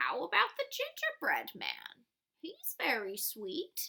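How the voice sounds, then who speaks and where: A woman's put-on character voice at a fairly slow pace. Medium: read story.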